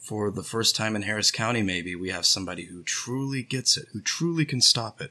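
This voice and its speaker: This man talks at a fairly quick pace with an American accent. His tone is bright and sharp. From Houston, Texas. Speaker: political organizer. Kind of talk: casual chat.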